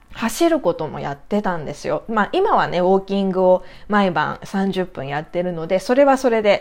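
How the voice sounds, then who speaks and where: Delivery comes at a moderate pace with lively intonation. There are hardly any pauses. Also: woman, medium pitch for a woman. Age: 40s. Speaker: doll maker and podcaster. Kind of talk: casual solo talk. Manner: halting, many fillers.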